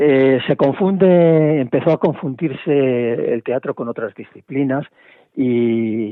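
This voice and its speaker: A man speaks at a very slow pace. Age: 70s. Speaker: playwright and theatre director. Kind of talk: interview. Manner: halting, with many repetitions.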